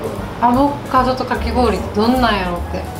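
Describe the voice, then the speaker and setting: A woman talking at a fairly quick pace over clear music in the background. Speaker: food reviewer. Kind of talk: casual food tasting chat. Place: cafe. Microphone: camera far.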